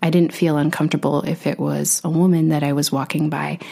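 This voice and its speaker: A woman talks at a moderate pace in a very deep, low pitch. Noticeable background noise sits behind her. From Alaska (Utqiagvik, North Slope). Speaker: podcast host. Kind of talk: interview conversation.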